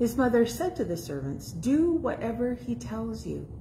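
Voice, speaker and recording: A fairly slow pace over light background noise. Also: woman. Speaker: scripture reader. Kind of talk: scripture reading. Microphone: phone near.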